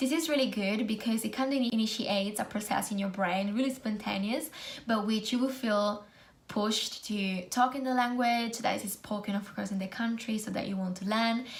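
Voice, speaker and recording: A woman in an Italian accent speaks with a fairly high pitch and fairly even intonation, with audible room echo. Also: moderate pace. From Italy. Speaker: student nurse and video blogger. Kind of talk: casual vlog tutorial.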